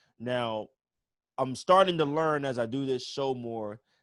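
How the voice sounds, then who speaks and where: This is an ordinary speaking voice at a moderate pace. Its intonation is lively. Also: man. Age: 30s. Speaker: webinar host, bass player and music professor. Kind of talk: casual interview. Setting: video call livestream.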